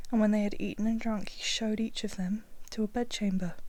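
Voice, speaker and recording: The voice is soft-spoken and moves at a fairly quick pace. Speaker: audiobook reader. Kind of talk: ASMR fairy tale reading for sleep.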